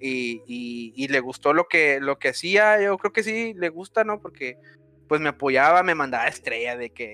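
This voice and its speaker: In a dry, close sound with no echo, a man with a fairly high pitch and a bright, sharp tone speaks at a fairly slow pace with lively intonation. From Mexico. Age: 20s. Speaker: gaming streamer. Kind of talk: casual chat. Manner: animated.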